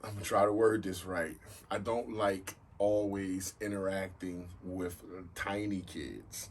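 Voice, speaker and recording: Somewhat breathy, a man speaks in a very deep, low pitch with audible room echo. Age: 40s. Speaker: podcast host. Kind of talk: casual chat.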